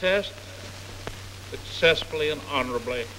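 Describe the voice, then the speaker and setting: Lively intonation from a man against noticeable background noise. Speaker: US president giving inaugural address. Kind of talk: inaugural address, oath of office. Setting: 1945 archival recording.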